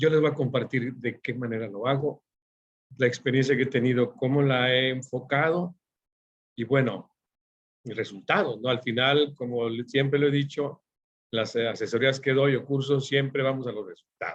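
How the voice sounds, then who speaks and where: A man at a medium pitch keeps his intonation fairly even. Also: moderate pace. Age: 50s. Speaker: forecasting consultant and instructor. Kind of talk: online workshop lecture. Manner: halting, many fillers.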